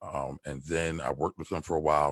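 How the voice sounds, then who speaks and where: A man with a Philadelphia accent, very deep and low, with vocal fry, at a fairly quick pace, on a very clean recording with a silent background. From Philadelphia, US. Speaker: stock trader and tax preparer. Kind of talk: podcast interview. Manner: casual, conversational.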